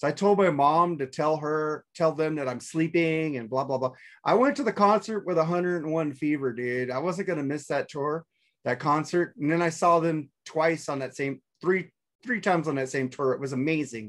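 A man's voice, ordinary in pitch variation, moderate in pace. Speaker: remote podcast guest. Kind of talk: casual storytelling chat. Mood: amused, nostalgic. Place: home room. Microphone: video call.

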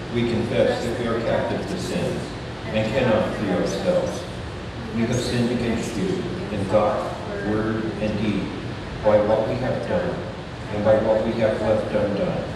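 Long, frequent pauses break up a man's fairly slow speech. Noticeable background noise and strong room echo surround him. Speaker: pastor leading worship. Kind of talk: liturgical reading. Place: church.

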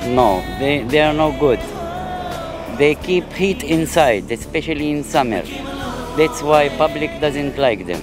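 A man talks at a fairly slow pace with long, frequent pauses, his voice dry with no echo over clear background music. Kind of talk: interview answer. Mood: proud, cheerful about his bus. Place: station. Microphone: handheld.

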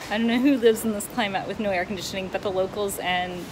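Noticeable background noise runs underneath this woman's speech. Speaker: family travel vlogger. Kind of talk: casual vlog chat. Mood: cheerful, chatty. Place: home room. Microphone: phone near.

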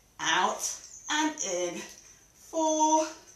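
Very wide pitch swings in audible room echo. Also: woman. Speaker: fitness instructor. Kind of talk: exercise class instruction. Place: home room. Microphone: camera far.

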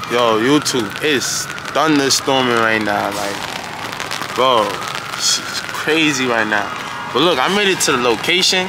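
A man at a moderate pace, with noticeable background noise and a dry sound with no echo. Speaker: food vlogger. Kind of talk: casual vlog chat. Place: street. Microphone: phone near.

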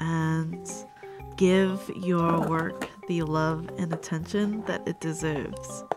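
Soft-spoken delivery comes over clear music in the background. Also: woman. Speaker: sticker artist and small business owner. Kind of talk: casual talk to camera, packing ASMR. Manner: slow, calming, soft. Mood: grateful, warm. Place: home room.

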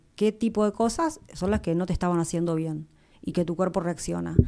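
A woman's dark, mellow voice, fairly low in pitch, at a moderate pace on a very clean recording against a silent background. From Argentina, Entre Ríos (Victoria). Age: 50s. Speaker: law professor. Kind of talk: casual interview.

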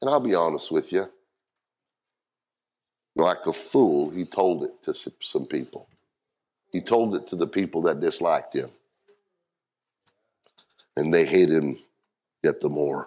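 Speaking at a fairly slow pace, a man leaves long, frequent pauses. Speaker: pastor. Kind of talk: sermon. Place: church.

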